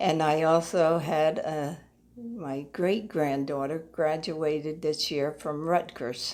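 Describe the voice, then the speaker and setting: A woman with a very deep, low voice and an American accent speaks at a very slow pace. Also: ordinary pitch variation. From US Northeast, New Jersey. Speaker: church member. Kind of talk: interview. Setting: at her apartment. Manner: halting.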